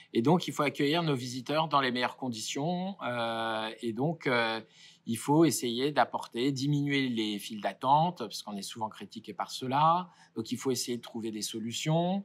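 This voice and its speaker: In a very clean recording with a silent background, a man speaks at a medium pitch. His pace is fairly slow and his pitch varies in an ordinary way. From Paris suburbs, France. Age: 40s. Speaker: company director. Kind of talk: interview. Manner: hesitant, many fillers.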